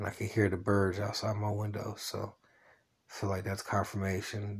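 The speech comes at a moderate pace. The voice is somewhat breathy. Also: man. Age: 40s. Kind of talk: personal religious monologue. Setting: at home, solo recording. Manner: rambling casual with fillers.

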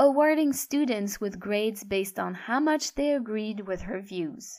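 Speaking at a fairly slow pace, a woman uses lively intonation at a medium pitch. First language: French. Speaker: audiobook narrator. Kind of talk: audiobook narration.

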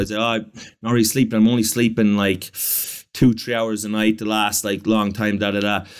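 In an Irish accent, a man at medium pitch talks at a fairly quick pace with fairly even intonation on a very clean recording with a silent background. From Ireland. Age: 30s. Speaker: comedian. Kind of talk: casual chat.

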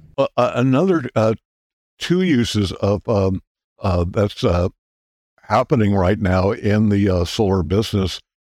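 Speaking with an American accent at a fairly slow pace, the voice shows ordinary pitch variation, recorded very cleanly against a silent background with a dry, close sound and no echo. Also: man. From California. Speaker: physicist and solar historian. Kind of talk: casual interview. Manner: halting, many fillers.

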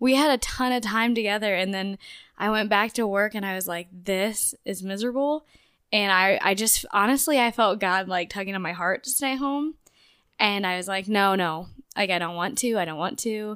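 In a very clean recording with a silent background, a woman speaks at a moderate pace with a bright, sharp tone, medium pitch and ordinary pitch variation. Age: 20s. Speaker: podcast co-host, pregnant mother. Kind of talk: casual chat.

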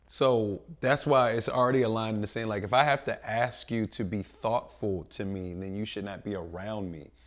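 In an ordinary speaking voice, a man with a fairly low pitch talks with an American accent. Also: ordinary pitch variation, moderate pace, hardly any pauses, big swings in loudness. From North Philadelphia. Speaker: podcast co-host. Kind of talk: casual chat. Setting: studio.

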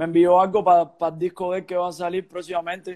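A man with a high pitch, at a very fast pace. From Cuba. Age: 30s. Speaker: singer. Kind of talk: casual chat.

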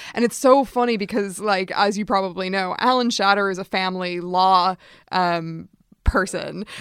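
In a normal speaking voice, a woman with an American accent talks at a moderate pace, her medium pitch carried by fairly even intonation. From United States. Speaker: podcast host. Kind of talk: casual interview chat.

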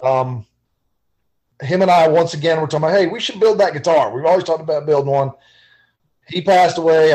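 Fairly high-pitched, a man talks with a Southern US accent and ordinary pitch variation. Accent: Southern US (Georgia). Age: 40s. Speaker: guitar builder. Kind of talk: casual chat.

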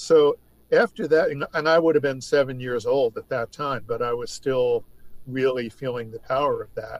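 In an American accent, a normal speaking voice moves at a moderate pace with ordinary pitch variation and big swings in loudness, heard as a dry, close sound with no echo. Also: man, medium pitch for a man. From New York State. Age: 60s. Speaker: music writer. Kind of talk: casual chat. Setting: remote call.

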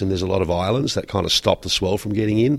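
A man with an Australian accent, fairly low in pitch, very fast, with ordinary pitch variation. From Western Australia. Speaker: surfboard builder and entrepreneur. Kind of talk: interview. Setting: trade show.

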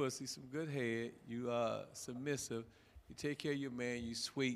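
The man's voice sits at a medium pitch. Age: 60s. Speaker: panelist. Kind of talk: crude comedic rant. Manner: crude, boisterous storyteller.

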